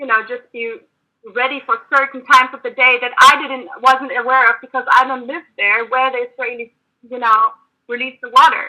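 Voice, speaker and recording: In a raised, projected voice, a woman with a German accent speaks at a moderate pace with a high pitch and a bright, sharp tone, her intonation fairly even but her loudness swinging widely. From Germany. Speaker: activist. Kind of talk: debate. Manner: halting.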